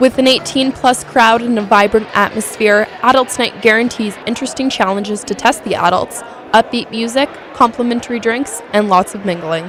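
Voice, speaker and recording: Pitched fairly high, a woman speaks at a moderate pace with ordinary pitch variation amid noticeable background noise. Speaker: news reporter. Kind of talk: broadcast news reporter voiceover.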